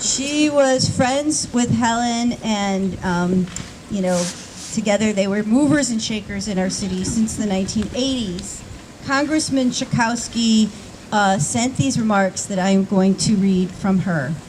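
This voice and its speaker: A woman with a fairly high pitch speaks at a fairly slow pace with ordinary pitch variation. Noticeable background noise is present. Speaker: ceremony emcee. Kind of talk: ceremony introduction. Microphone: may be too far from microphone.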